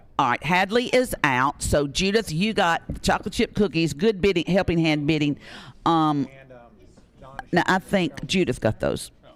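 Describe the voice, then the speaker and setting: Loud and lively in intonation, a man with a Tennessee accent speaks at a high pitch with long, frequent pauses. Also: moderate pace. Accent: Southern US (Tennessee). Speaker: radio auction host. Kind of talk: live auction calling.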